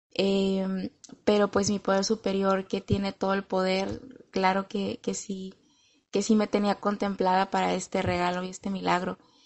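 The woman's medium pitch stays monotone, with flat intonation, as she talks at a moderate pace. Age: 30s. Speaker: recovery group member sharing testimony. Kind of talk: testimony.

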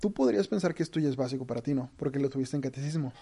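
This man's voice has a dark, mellow tone. His pitch runs fairly high. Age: 20s. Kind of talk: religious teaching talk.

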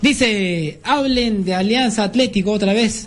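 Noticeable background noise fills the clip. Over it, a man talks with lively intonation. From Peru, Lima. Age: 20s. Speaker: sports radio host. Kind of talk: sports talk radio. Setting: radio studio.

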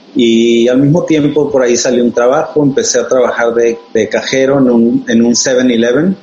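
A man at medium pitch and a fairly slow pace, with noticeable background noise. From Sonora, northwest Mexico. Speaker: designer and studio founder. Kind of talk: casual interview chat. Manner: hesitant, repeats words.

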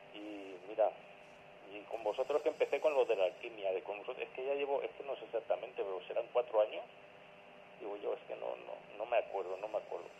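A man is speaking. His pace is fairly quick. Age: 50s. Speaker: patient caller. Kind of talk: casual phone chat.

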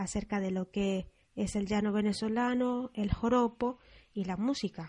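A woman is speaking. Her voice is somewhat breathy with a dark, mellow tone. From Venezuela, Apure llanos. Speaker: radio host. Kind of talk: scripted radio presentation.

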